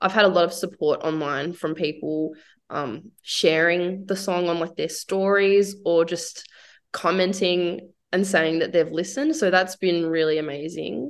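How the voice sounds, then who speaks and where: Against a quiet background, a woman speaks in an unremarkable speaking voice at a fairly slow pace. Her pitch is fairly low, with fairly even intonation. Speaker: singer-songwriter and painter. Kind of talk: casual radio interview. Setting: radio studio.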